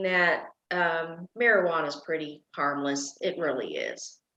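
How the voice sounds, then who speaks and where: A woman with an American accent speaks at a fairly slow pace, and some room echo can be heard. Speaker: political candidate. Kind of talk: interview. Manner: animated.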